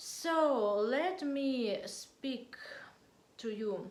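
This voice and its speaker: A woman speaks at a high pitch with very wide pitch swings. Room echo is audible. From Russia. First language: Russian. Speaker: political vlogger. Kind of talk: political monologue to camera. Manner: halting, hesitant non-native English; quiet.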